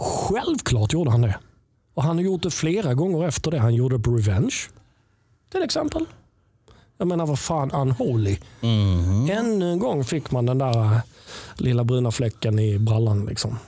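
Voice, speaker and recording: Pausing long and often, a man talks at a moderate pace in a dark, mellow, somewhat breathy tone with very even loudness. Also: medium pitch for a man, lively intonation. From southern Sweden, Helsingborg. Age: 50s. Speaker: musician and sound engineer. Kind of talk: casual chat. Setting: studio.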